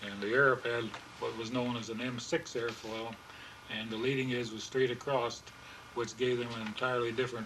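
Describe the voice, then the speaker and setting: A medium-pitched man with an American accent, monotone and flat at a moderate pace, amid audible room echo and noticeable background noise. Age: 80s+. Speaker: pilot and aircraft builder. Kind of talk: interview. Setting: home room. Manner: halting.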